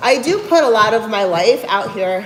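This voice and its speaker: Amid noticeable background noise and audible room echo, a woman with a New Jersey accent speaks at a fairly high pitch. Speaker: fitness coach and bodybuilder. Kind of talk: livestream chat reading viewer comments. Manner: casual, conversational.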